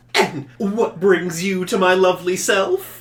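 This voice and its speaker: Putting on a character voice, a man speaks fairly slowly at a high pitch. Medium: actual play. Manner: chatty, friendly.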